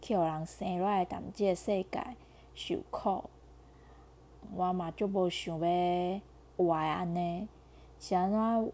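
In a Taiwanese accent, a woman speaks very slowly with a dark, mellow tone, fairly low pitch and fairly even intonation, pausing long and often against a quiet background. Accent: Taiwanese Mandarin. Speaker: podcaster. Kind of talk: personal monologue. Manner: halting, many fillers.

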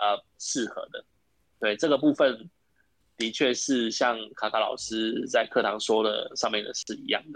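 A man talks at a fairly slow pace. His voice sits at a medium pitch. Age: 40s. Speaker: café owner. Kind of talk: interview. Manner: halting, repetitive.

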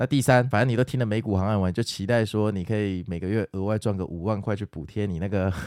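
On a very clean recording with a silent background, a man talks fairly quickly at a fairly low pitch with ordinary pitch variation. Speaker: stock market podcaster. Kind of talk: casual market commentary and listener Q&A.

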